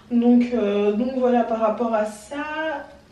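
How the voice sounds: A woman speaks slowly at a fairly high pitch, with ordinary pitch variation and a dark, mellow tone. Strong echo fills the room.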